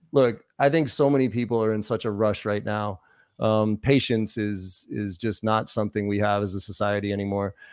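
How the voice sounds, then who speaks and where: Against a silent background in a very clean recording, a man with an American accent speaks at a fairly low pitch, his intonation fairly even. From US Northeast (Boston). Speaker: sales trainer. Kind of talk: interview conversation. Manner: fast.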